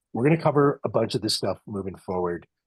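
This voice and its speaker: A man talks at a fairly quick pace in a fairly low pitch. His voice is somewhat breathy, with lively intonation. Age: 50s. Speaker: race organizer and webinar host. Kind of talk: webinar chat. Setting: webinar video call. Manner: casual, with filler words.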